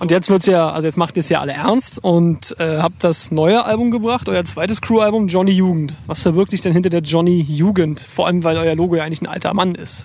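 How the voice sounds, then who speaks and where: Speaking at a fairly quick pace, a man with a high pitch and ordinary pitch variation is heard in a dry sound with no echo. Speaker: music interviewer. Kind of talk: casual interview. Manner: joking, playful. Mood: relaxed, casual, joking. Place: waterside. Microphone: handheld.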